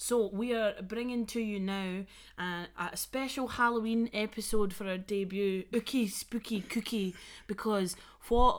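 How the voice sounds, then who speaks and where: A woman talks with a Scottish accent at medium pitch. Her pace is fairly slow. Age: 20s. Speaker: podcast co-host. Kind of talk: casual chat. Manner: animated.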